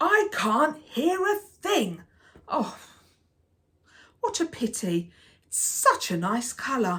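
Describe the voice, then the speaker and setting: A woman's put-on character voice, high-pitched, gruff and growling, very slow with long, frequent pauses, big swings in loudness and very wide pitch swings. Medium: read story. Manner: grumpy, gruff.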